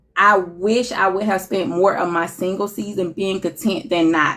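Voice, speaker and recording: A woman talks in a normal speaking voice. Her medium-pitched delivery comes at a fairly slow pace. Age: 40s. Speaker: relationship speaker sharing experience. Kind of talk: casual interview chat.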